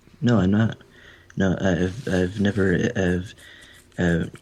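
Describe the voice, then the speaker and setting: Very slowly, a man speaks in a very deep, low pitch. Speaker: paranormal radio show co-host. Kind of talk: casual chat. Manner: halting.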